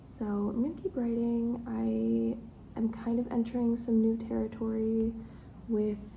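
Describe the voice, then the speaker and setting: Very slow speech with audible room echo. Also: woman. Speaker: writer vlogger. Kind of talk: casual vlog chat. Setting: library conference room. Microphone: echoey room.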